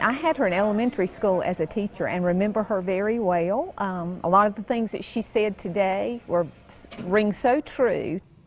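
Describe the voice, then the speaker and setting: Over background music, a woman speaks at a moderate pace with ordinary pitch variation in a dry recording with no echo. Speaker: high school teacher. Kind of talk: interview answer. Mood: warm, fond recollection.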